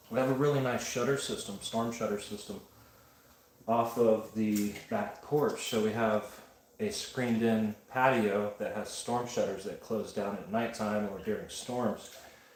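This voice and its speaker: A man at a medium pitch, fairly slow and fairly even in intonation, with audible room echo. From Wyoming. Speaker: pottery livestreamer. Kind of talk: casual chat.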